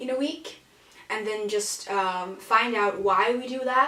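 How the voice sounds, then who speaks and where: A woman with a Danish accent, medium pitch and ordinary pitch variation, with audible room echo. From Denmark. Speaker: podcast co-host. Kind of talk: casual chat. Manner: halting, many fillers.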